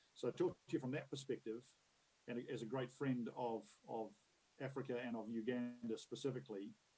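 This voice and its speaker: Speaking in a New Zealand accent, a man has a dark, mellow tone and medium pitch. He keeps a fairly quick pace with fairly even intonation. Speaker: conference keynote speaker, future-of-work expert. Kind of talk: conference keynote talk. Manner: conversational, many fillers and repetitions.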